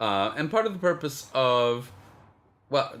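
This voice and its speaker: A man with a Spanish accent and lively intonation. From Canada. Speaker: film podcast co-host. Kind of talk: casual chat. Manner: hesitant, many fillers.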